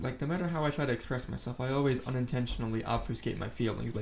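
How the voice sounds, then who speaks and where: Noticeable background noise sits under a man's medium-pitched voice, which shows ordinary pitch variation. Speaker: vlogger. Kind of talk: casual vlog monologue. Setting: attic at home. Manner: very quiet; halting.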